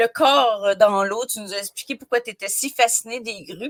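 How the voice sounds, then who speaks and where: A woman with a Quebec accent talks at a moderate pace, and the sound is dry and close with no echo. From Quebec, Côte-Nord. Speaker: podcast host. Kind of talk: podcast interview. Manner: enthusiastic.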